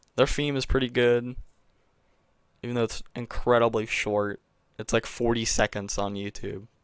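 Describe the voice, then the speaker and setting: A quiet man's voice. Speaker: gaming youtuber. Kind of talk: casual solo commentary. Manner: hesitant, many fillers. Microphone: new mic.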